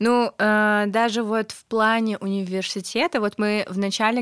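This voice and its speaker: The speech moves at a fairly slow pace. The recording is very clean with a silent background, its sound dry and close with no echo. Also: woman. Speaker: podcast co-host. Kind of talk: casual chat. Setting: studio. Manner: animated.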